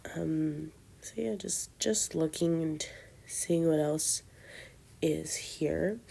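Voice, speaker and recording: A woman at a very slow pace, long and frequent pauses, big swings in loudness, on a very clean recording with a silent background. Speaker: doll collector vlogger. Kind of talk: casual vlog narration. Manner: casual, hesitant.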